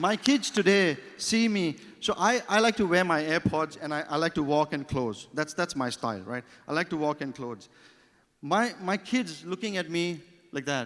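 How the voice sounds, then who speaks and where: With lively intonation, a man in a high voice speaks at a moderate pace. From Thailand. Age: 40s. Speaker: award nominee speaker. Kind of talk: motivational speech. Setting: stage with audience.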